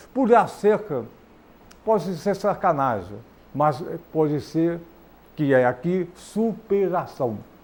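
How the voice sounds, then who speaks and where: A man's high-pitched voice at a very slow pace, with very wide pitch swings and long, frequent pauses. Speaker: TV talk show host, physician. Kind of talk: TV talk show interview. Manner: animated.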